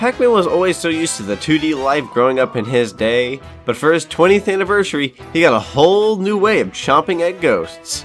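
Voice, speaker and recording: A man's fairly high, upbeat, playful voice with very wide pitch swings over music in the background. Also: fairly quick pace. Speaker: gaming YouTuber. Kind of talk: video game review narration. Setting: home studio microphone.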